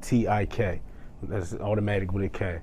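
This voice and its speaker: A man speaks at a moderate pace with a fairly low, dark, mellow voice and an American accent. There is audible room echo. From New Jersey. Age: 30s. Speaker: rapper. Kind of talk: casual interview; self-promotion. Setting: studio.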